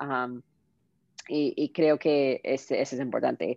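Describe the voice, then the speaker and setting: In an American accent, a woman speaks at a fairly slow pace with a very deep, low pitch. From Southern California, US. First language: English (speaking Spanish). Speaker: tech entrepreneur. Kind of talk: interview. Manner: halting, many fillers.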